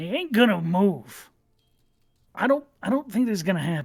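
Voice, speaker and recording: Middle pitch and moderate speed in a put-on character voice. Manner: doubtful, skeptical.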